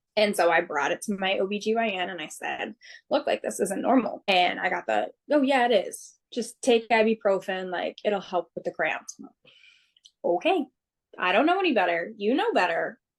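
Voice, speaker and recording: This woman has an unremarkable speaking voice, a fairly high pitch and an American accent, with lively intonation at a moderate pace. The sound is dry and close, with no echo. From Massachusetts (Swansea). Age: 20s. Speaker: firefighter paramedic. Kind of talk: interview testimony.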